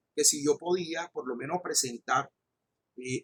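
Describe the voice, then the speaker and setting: The voice has a Colombian coastal accent, and the sound is dry and close with no echo. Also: man. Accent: regional Colombian coastal. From Colombian Caribbean coast (Magangué, Bolívar). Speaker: law professor. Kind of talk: lecture. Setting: recorded online class. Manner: impetuous, raises voice when enthusiastic; hesitant fillers and repetitions.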